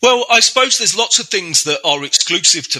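With a southern English accent, a man speaks in fairly even intonation. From England (Reading). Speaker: software architect. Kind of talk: interview. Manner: hesitant, many fillers.

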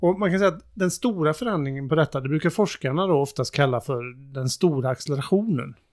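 A man's fairly high voice at a very fast pace, lively intonation and hardly any pauses, on a very clean recording with a silent background. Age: 50s. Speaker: sustainability consultant. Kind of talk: casual chat.

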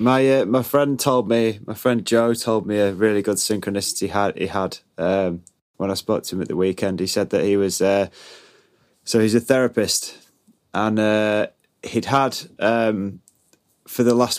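This man speaks with a British accent at a moderate pace. His intonation is fairly even. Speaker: podcast co-host. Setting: recorded with new microphone setup.

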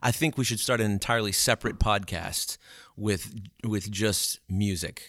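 In a very clean recording with a silent background, a man with an American accent talks at a moderate pace, his fairly low pitch showing ordinary variation. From Louisiana, Alexandria. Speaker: church music coordinator. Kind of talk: casual chat.

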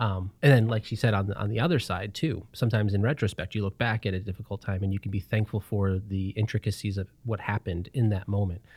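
A man speaks very fast in a somewhat breathy voice, with fairly even intonation. The recording is very clean, with a silent background. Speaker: podcast host. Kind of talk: casual interview chat.

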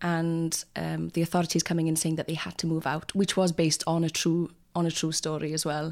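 On a very clean recording with a silent background, a woman speaks with a West Wales accent. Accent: West Wales Welsh. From Wales, North Pembrokeshire. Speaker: actor and writer. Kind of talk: casual chat.

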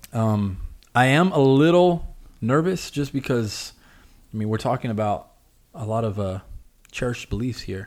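Speaking at medium pitch and a moderate pace, a man uses lively intonation with long, frequent pauses in a very clean recording with a silent background. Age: 20s. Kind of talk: casual chat. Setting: studio.

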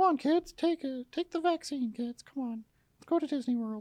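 A put-on character voice, female-sounding and high-pitched, at a moderate pace. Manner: chipper, coaxing, mock-cheerful.

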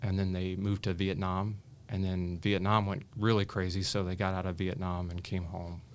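Over audible room echo, a man with an American accent and a very deep, low pitch talks at a moderate pace in a monotone, flat way. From US Midwest, Indiana. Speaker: attorney and cancer survivor. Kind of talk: interview, personal story.

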